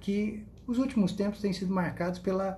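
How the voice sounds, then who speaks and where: In a room with audible echo, a man with a dark, mellow tone speaks at a moderate pace. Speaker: law professor. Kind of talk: lecture. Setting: Instagram live stream.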